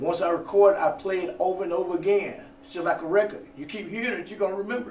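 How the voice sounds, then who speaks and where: A man with a Southern US accent talks at a very fast pace and a high pitch, with ordinary pitch variation and big swings in loudness, amid noticeable background noise. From US South, eastern Alabama. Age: 60s. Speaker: actor, former radio announcer. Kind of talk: interview. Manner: halting, many fillers and repeats.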